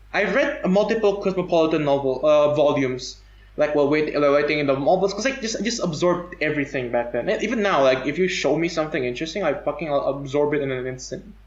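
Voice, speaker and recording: A man at a fairly high pitch with ordinary pitch variation, talking at a very fast pace with hardly any pauses, with audible room echo and noticeable background noise. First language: non-English native tongue. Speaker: podcast guest. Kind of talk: casual chat. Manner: halting.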